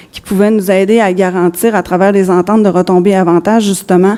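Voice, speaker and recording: Over noticeable background noise, a woman speaks at medium pitch with monotone, flat intonation. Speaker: business executive. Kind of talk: conference presentation. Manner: halting.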